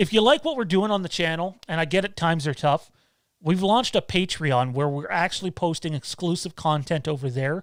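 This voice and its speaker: In a strong Canadian accent, a high-pitched man talks at a fairly quick pace with ordinary pitch variation, on a very clean recording with a silent background. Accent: thick Canadian. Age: 30s. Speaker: YouTube channel host. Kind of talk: live stream Q&A. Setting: live stream. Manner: casual, hesitant with fillers.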